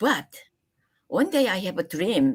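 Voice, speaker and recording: Very wide pitch swings at a fairly slow pace, in a very clean recording with a silent background. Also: woman. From Korea. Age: 70s. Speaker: acupuncturist. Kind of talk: interview. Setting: live stream. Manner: halting.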